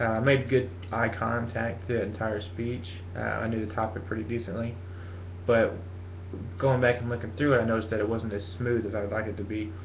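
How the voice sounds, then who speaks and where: A mumbling, somewhat breathy man at a medium pitch and a fairly quick pace, with fairly even intonation and audible room echo. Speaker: college student. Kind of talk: self-assessment speech. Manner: fast; mumbling, many fillers.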